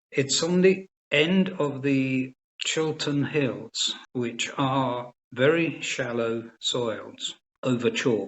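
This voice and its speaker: A man with a southern English accent speaks at a very slow pace. His pitch is fairly high, with ordinary variation. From England, Cambridgeshire area. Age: 70s. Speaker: organic farming advisor. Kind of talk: interview.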